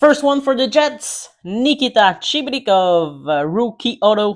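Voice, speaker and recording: Over a quiet background, a woman talks at a very slow pace. Her medium pitch moves in very wide swings. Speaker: card break live streamer. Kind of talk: live card-break commentary. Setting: livestream.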